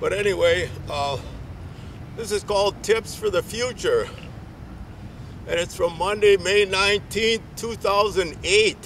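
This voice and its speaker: With an American accent, a man with a high voice speaks at a fairly slow pace, his intonation fairly even, with long, frequent pauses over noticeable background noise. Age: 60s. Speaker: public access TV presenter. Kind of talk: reading aloud. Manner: halting.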